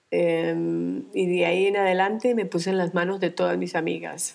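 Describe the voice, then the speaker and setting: This woman's voice sits at a fairly low pitch. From Colombia. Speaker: retired dentist, cancer survivor. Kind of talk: interview. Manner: halting.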